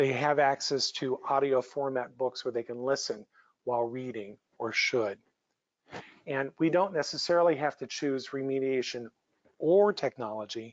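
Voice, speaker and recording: The pace is moderate, with ordinary pitch variation. It is an ordinary speaking voice. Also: man, medium pitch for a man. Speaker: psychologist presenter. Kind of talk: lecture.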